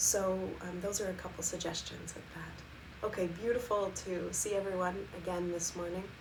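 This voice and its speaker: In a calm, gentle tone, a woman speaks at medium pitch and a moderate pace with monotone, flat intonation, amid noticeable background noise and audible room echo. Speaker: Ayurveda and meditation teacher. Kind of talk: live-streamed wellness talk. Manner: calm, gentle, with frequent fillers.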